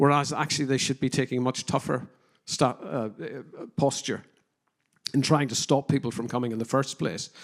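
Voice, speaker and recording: At a moderate pace, a man with a Northern Irish accent talks at a medium pitch with ordinary pitch variation. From Northern Ireland, working-class. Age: 50s. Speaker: criminologist and counter-extremism adviser. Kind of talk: conference panel discussion. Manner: hesitant, many fillers.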